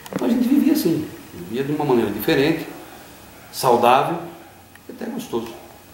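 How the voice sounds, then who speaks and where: A man talks fairly quickly at a fairly high pitch, his voice swinging very widely and broken by long, frequent pauses. Noticeable background noise and audible room echo surround him. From interior of São Paulo state, Brazil (Itapetininga area). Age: 50s. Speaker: interviewee sharing life story. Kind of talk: interview. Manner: hesitant, with fillers.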